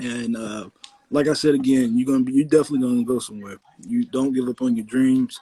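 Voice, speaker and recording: A man with an American accent, very fast pace and fairly even intonation. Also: medium pitch for a man. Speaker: podcast host. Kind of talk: casual chat.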